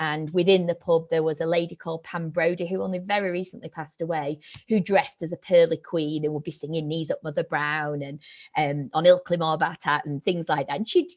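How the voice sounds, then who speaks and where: Speaking in a Yorkshire accent, a woman with fairly low pitch talks at a fairly quick pace with ordinary pitch variation. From Yorkshire, northern England. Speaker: senior lecturer and researcher. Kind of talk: academic seminar talk. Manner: hesitant, many fillers.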